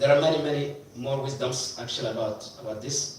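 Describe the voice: Strong room echo surrounds a man at medium pitch. He talks at a fairly quick pace with ordinary pitch variation.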